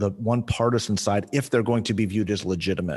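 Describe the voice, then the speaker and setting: A man's normal speaking voice, medium in pitch, with ordinary pitch variation and an American accent, on a very clean recording with a silent background. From Southern California, Ventura County. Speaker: political strategist. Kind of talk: casual chat.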